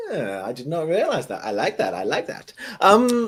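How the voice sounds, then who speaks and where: A man speaks with an English accent at a moderate pace. His pitch swings very widely. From southern England. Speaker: tech developer advocate. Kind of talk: casual chat.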